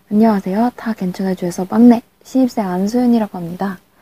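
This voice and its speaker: Her fairly high voice has a dark, mellow tone and a somewhat breathy quality, with ordinary pitch variation at a moderate pace, recorded dry and close with no echo. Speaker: university student hosting a class radio-style segment. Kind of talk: reading aloud letters in radio style. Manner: playful.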